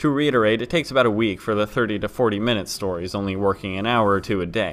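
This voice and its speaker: A man talks very fast at a fairly low pitch. Music plays behind him. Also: ordinary pitch variation. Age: 20s. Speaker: story narrator youtuber. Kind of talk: Q&A video monologue.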